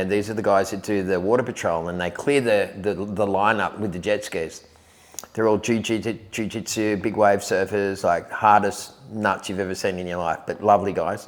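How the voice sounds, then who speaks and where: A man with an Australian accent, fairly low in pitch, at a moderate pace. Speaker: surf commentator and surf reporter. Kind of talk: podcast interview answer. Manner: upbeat.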